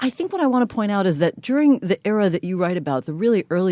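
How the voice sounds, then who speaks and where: A woman talks very fast with lively intonation in a New York accent. The sound is dry and close, with no echo. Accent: American, New York. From New York City. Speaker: podcast co-host, political consultant. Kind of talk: interview.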